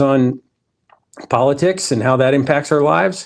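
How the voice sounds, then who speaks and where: A man speaks at a moderate pace with an unremarkable speaking voice. His pitch sits in the middle range, and his intonation is lively. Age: middle-aged. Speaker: podcast host. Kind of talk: casual interview.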